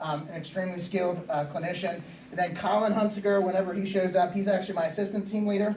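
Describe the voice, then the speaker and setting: A man's high-pitched, very fast, monotone and flat delivery, with audible room echo and noticeable background noise. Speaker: EMS assistant chief and SWAT team medic instructor. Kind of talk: lecture.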